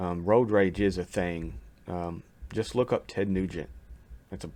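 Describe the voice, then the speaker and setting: A man talks in a Kentucky accent with a very deep, low pitch. The recording is very clean, with a silent background. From Kentucky, US. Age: 40s. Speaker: YouTube reaction reviewer. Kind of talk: casual video commentary. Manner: hesitant, many fillers.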